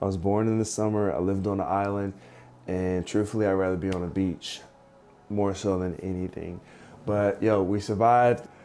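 Faint music sits behind a man who speaks at a moderate pace, his fairly low pitch held in a monotone, flat intonation. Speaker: vlogger. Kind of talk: casual vlog chat. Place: home room.

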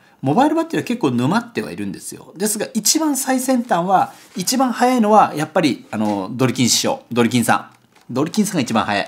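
A high-pitched man with very wide pitch swings at a fairly quick pace. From Japan, Kagoshima; Japan. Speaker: photographer and YouTuber; YouTuber. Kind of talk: casual vlog monologue, product unboxing. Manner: rambling with many fillers. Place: home room.

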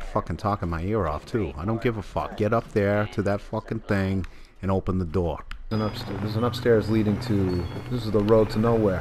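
A man speaks with a Boston accent at a fairly low pitch. Noticeable background noise is present. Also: fairly quick pace. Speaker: gamer. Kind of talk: gameplay commentary. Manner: profane, excitable.

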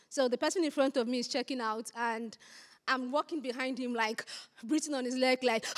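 A woman talks fairly quickly in a high voice with a strong Nigerian accent. Her tone is animated, and the background is quiet. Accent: thick Nigerian. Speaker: SEO content strategist, conference speaker; conference speaker. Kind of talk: conference talk. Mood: humorous, lively. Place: hall. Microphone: handheld.

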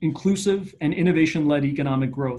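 In a Canadian accent, a man with a normal speaking voice talks at a moderate pace, his fairly high pitch showing ordinary variation. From Eastern Canada. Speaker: economic development strategist; panelist. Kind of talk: online panel discussion. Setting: online video event. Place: office. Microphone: video call.

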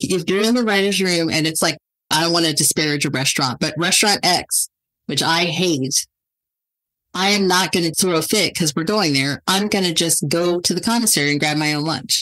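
The pace is fairly quick, with an American accent. It is a plain, everyday voice. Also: woman, fairly low pitch for a woman, ordinary pitch variation, very even loudness. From California (Ridgecrest). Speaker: television writer and producer. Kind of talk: casual chat.

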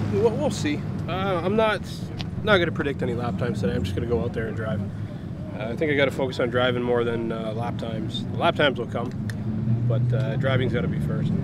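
A man speaks at a very fast pace over loud background noise. The sound is dry with no echo. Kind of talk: casual vlog chat. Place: open country.

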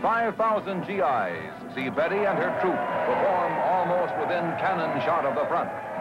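With music in the background, a man talks at a fairly slow pace in a high pitch with lively intonation. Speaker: newsreel narrator. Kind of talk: newsreel narration.

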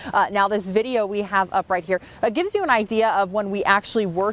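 Very fast pace, fairly even intonation and a dry sound with no echo. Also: woman. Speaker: TV news reporter. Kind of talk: live news report. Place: street.

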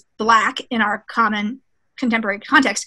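A woman's raised, projected voice, bright and sharp in tone, at a fairly quick pace against a quiet background. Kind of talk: lecture. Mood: lively, sometimes laughing. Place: office.

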